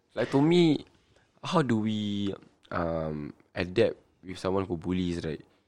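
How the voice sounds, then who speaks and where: A man with a very deep, low pitch talks at a fairly slow pace, using lively intonation and long, frequent pauses. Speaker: podcast co-host. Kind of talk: casual chat.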